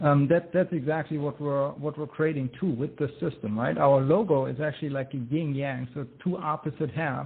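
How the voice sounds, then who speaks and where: With a German accent, the speaker keeps a moderate pace, fairly even intonation and hardly any pauses. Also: man, fairly high pitch for a man. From Germany. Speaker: inventor and entrepreneur. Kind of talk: interview.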